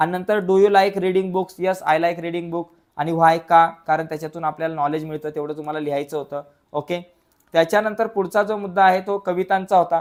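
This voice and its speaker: A man with a high voice speaks with fairly even intonation. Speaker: teacher. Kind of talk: lecture.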